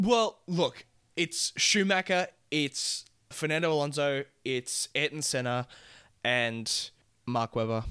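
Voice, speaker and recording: The recording is very clean, with a silent background and a dry, close sound with no echo. The voice has a bright, sharp tone and lively intonation, moving at a very slow pace with long, frequent pauses. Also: man, fairly high pitch for a man. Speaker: podcast guest. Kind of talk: casual chat.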